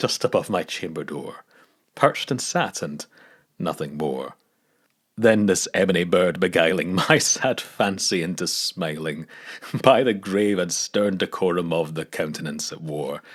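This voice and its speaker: With a Scottish accent, a man speaks at a moderate pace in a very deep, low pitch. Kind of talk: poetry reading. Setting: studio.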